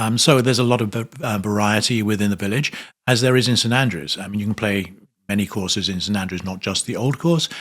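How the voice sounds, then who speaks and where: A man with a British accent, a fairly low pitch and ordinary pitch variation, at a very fast pace in a very clean recording with a silent background. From England, North London. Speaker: hospitality executive. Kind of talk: interview. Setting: trade conference. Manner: hesitant, many fillers.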